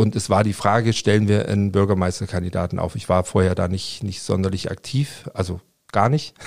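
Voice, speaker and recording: A fairly quick pace with fairly even intonation on a very clean recording with a silent background. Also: man, fairly low pitch for a man. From Leipzig, eastern Germany. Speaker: politician, former political scientist. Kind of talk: interview. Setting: podcast studio. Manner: hesitant, many fillers and repetitions.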